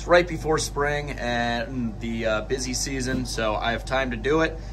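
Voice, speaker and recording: Medium-paced speech from a man against faint background noise. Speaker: DIY tractor owner. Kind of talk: tutorial. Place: workshop. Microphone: phone near.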